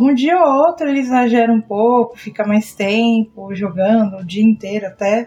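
A somewhat breathy woman's voice, fairly high in pitch, with a dark, mellow tone. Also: ordinary pitch variation, moderate pace. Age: 30s. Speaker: podcast host. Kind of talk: casual chat.

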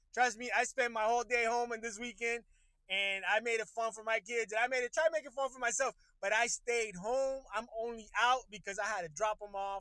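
A man with an extremely high pitch speaks in a raised, projected voice with a bright, sharp tone and fairly even intonation. His pace is fairly quick, and the sound is dry and close with no echo. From Puerto Rico. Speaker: podcast host. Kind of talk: casual live-stream chat. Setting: in a car. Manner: casual, hesitant with many fillers.

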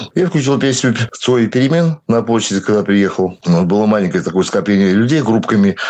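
A man with a normal speaking voice talks with lively intonation, very even loudness and hardly any pauses. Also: fairly low pitch for a man, moderate pace. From Belarus (moved from Siberia at 7). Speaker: local protest activist. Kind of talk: interview.

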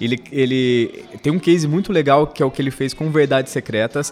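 Speech moves at a moderate pace. It comes in a normal speaking voice. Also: man. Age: 30s. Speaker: television soap opera researcher. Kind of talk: casual chat. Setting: studio.

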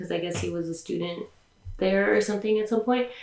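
Here is a woman speaking. She has a Californian accent. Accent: Californian American English. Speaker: podcast host. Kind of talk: casual interview chat.

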